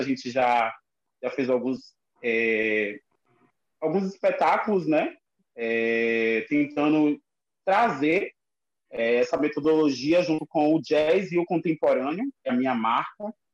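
With an ordinary speaking voice, a man talks at a fairly slow pace, his pitch fairly high and its variation ordinary. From Lauro de Freitas, Bahia. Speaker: dancer and choreographer. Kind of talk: casual online chat. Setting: video call live.

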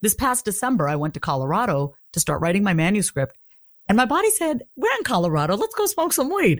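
Speaking with a New York accent, a woman moves at a fairly quick pace in a medium pitch. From Long Island, New York. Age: 30s. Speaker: confidence coach. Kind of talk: casual chat.

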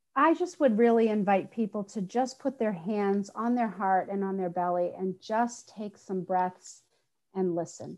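At a fairly slow pace, a woman speaks at medium pitch in an unremarkable speaking voice with ordinary pitch variation. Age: 50s. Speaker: spiritual healing teacher. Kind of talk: casual chat.

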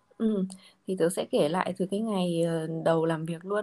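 A woman with a dark, mellow tone and ordinary pitch variation, on a very clean recording with a silent background. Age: 20s. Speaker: finance director. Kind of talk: casual interview chat.

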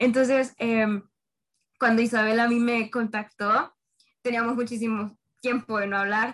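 Fairly high-pitched and monotone, a woman speaks at a fairly slow pace with flat intonation and long, frequent pauses. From Honduras. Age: young (19). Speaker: university student, podcast host. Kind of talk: casual chat.

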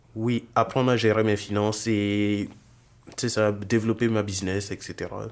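Monotone and flat, a man talks at a fairly slow pace. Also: fairly low pitch for a man. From Burkina Faso. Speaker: software engineering student and entrepreneur. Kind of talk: casual interview.

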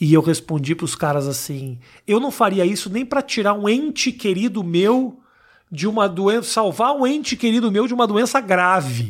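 Very wide pitch swings mark this man's high voice. The recording is very clean, with a silent background. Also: moderate pace. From Porto Alegre, southern Brazil. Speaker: podcast host. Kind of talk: casual chat.

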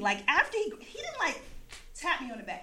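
With an American accent, a woman projects a raised voice in an animated tone amid audible room echo. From US East Coast. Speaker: storyteller. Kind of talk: live storytelling.

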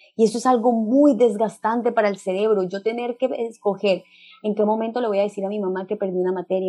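A woman speaks very fast in a fairly high pitch. Her intonation stays monotone and flat. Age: 30s. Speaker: parenting specialist. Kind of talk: interview. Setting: video call.

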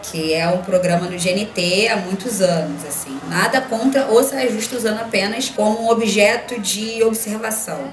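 A woman at a fairly high pitch and fairly slow pace, hardly any pauses, ordinary pitch variation, with audible room echo and noticeable background noise. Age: 30s. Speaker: journalist. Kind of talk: casual chat. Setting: video call.

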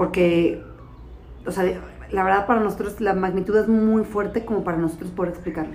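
A woman with a Mexican accent, fairly quick in pace, with fairly even intonation and audible room echo. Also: medium pitch for a woman. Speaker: podcast co-host, mother of diabetic child. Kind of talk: casual chat.

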